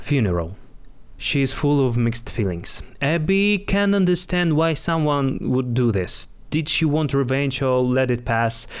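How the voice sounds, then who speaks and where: In a non-native accent, the speaker uses lively intonation at a fairly slow pace, keeping loudness very even. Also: man, fairly high pitch for a man. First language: not English. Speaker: actor, writer. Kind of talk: plot narration.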